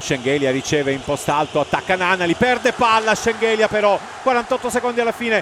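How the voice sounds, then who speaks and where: Over noticeable background noise, a man speaks in an excited tone at a moderate pace. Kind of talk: live radio sports commentary. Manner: excited, exclamatory at key baskets and the final buzzer.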